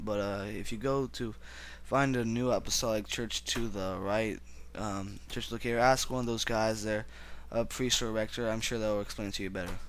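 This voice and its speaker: A man talks at a moderate pace with fairly even intonation, and audible room echo surrounds his voice. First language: not English. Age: young. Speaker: religious video blogger. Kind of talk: personal religious monologue. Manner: halting.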